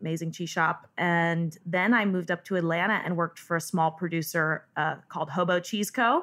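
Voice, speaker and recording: With an American accent, a woman talks in a plain, everyday voice, leaving hardly any pauses. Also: fairly low pitch for a woman, fairly even intonation, moderate pace. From Northern California. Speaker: cheesemonger. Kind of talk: interview.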